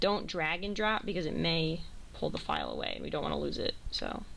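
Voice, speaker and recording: In audible room echo, a woman speaks at a fairly quick pace. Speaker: college radio station manager. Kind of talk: tutorial. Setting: radio studio. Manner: loud.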